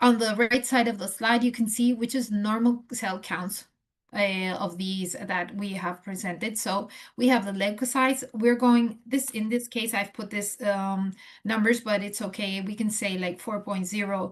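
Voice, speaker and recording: Her pitch fairly high and her intonation fairly even, a woman speaks in a somewhat breathy voice. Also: moderate pace. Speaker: transplant nurse educator. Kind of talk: lecture. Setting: video call. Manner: halting, many fillers.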